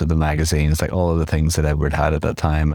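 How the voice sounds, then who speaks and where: A man speaks in a very deep, low voice with flat, monotone intonation over noticeable background noise. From Belfast, Northern Ireland. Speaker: fashion stylist and magazine editor. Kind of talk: casual interview.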